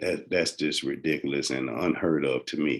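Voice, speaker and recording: The speaker is a man with a Southern US accent. He talks at a moderate pace. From US South. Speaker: health podcaster. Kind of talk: informal health talk. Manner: halting, many fillers.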